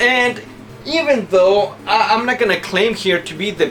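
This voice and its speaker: Music can be heard underneath. The delivery is rather unhurried. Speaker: video game collector youtuber. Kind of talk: casual video haul talk. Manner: casual, conversational with fillers.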